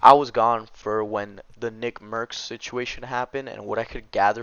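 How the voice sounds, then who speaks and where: At a fairly quick pace, a man speaks with monotone, flat intonation and a medium pitch. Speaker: gaming commentary youtuber. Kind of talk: casual vlog commentary. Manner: fast.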